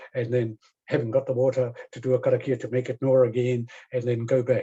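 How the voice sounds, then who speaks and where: Speaking at a moderate pace, a man has a medium pitch and a dark, mellow tone. His voice is somewhat breathy and his intonation monotone and flat. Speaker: professor. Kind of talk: lecture. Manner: halting, many fillers.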